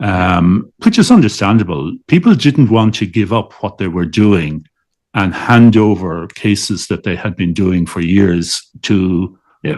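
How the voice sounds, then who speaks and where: The speaker has a Dublin accent and ordinary pitch variation at a fairly slow pace. It's a very clean recording with a silent background. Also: man, fairly low pitch for a man. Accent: Irish (Dublin). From Dublin, Ireland. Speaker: liver transplant surgeon. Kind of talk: interview answer.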